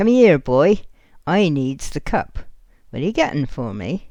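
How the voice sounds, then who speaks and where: A woman's put-on character voice, croaky and very deep and low in pitch, with very wide pitch swings at a fairly slow pace. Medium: read story. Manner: commanding, sly.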